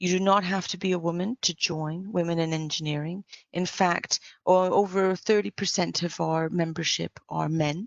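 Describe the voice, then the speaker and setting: A woman speaks in a fairly low pitch. Her pace is moderate and her intonation fairly even. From Canada and England. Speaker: engineer and women-in-engineering volunteer speaker. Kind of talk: conference talk.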